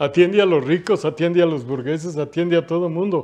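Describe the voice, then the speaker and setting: A man's voice, high in pitch. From Mexico. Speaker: retired worker and union leader; interview guest. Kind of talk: panel discussion; reading aloud. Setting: studio. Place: studio. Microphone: lapel.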